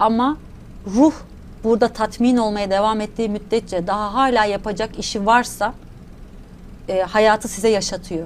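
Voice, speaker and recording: A woman speaks at a moderate pace with fairly even intonation and long, frequent pauses over light background noise. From Turkey, Adana; Turkey. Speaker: academic economist and theta healing trainer; theta healing trainer. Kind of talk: interview conversation. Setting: studio. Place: studio. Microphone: lapel.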